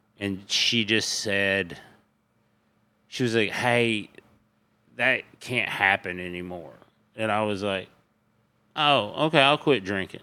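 A man with a Tennessee accent speaks very slowly in a bright, sharp tone, with long, frequent pauses. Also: fairly low pitch for a man, ordinary pitch variation. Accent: Southern US (Tennessee). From East Tennessee. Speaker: stand-up comedian. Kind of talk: casual chat.

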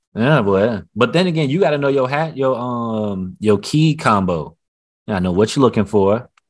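A man with an ordinary speaking voice talks at a medium pitch and a moderate pace, his intonation lively, over a quiet background. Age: 30s. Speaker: podcast co-host. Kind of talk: casual chat.

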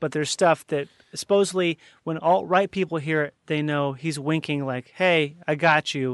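Spoken at a moderate pace in an unremarkable speaking voice, the clip has fairly even intonation, a dry, close sound with no echo, and a quiet background. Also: man, fairly high pitch for a man. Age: 30s. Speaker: podcast host. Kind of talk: casual chat.

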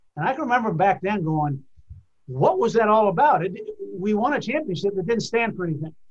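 Over noticeable background noise, a man talks fairly quickly at a high pitch with lively intonation. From New England, New Hampshire. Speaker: retired athletic director. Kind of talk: interview. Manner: conversational.

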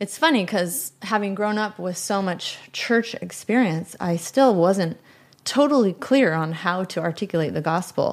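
Using lively intonation, a woman with a medium pitch speaks at a fairly slow pace. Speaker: elementary school teacher, church singer. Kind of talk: testimony.

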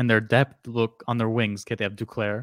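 Dry and close with no echo, in a very clean recording with a silent background, a man speaks at medium pitch and a moderate pace. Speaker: hockey podcast co-host. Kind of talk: casual chat. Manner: monotone when reading aloud.

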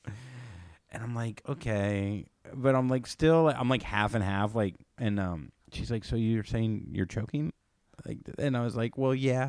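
A man with an unremarkable speaking voice talks at a fairly slow pace and medium pitch, with ordinary pitch variation. The recording is very clean, with a silent background. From Florida, US. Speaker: comedian and podcaster. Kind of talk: casual interview chat.

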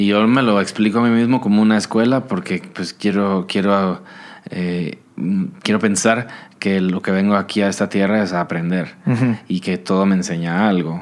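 This man's voice sits fairly low in pitch, and his intonation stays fairly even. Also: moderate pace. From Guatemala. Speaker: singer-songwriter. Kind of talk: casual interview.

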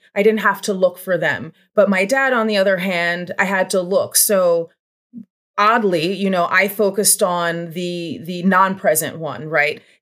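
Using a plain, everyday voice, a woman with an American accent speaks fairly slowly at a medium pitch with ordinary pitch variation. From Pennsylvania, Bucks County. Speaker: author and abuse survivor. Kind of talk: interview testimony.

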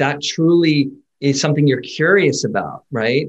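An unremarkable speaking voice from a man, fairly high in pitch, at a fairly slow pace. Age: 50s. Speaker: sports psychology consultant. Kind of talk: casual chat.

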